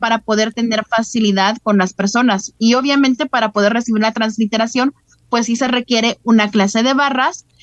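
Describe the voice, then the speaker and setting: A woman's plain, everyday voice at a moderate pace, with very even loudness and fairly even intonation. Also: fairly high pitch for a woman. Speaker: holistic therapy facilitator. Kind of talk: interview.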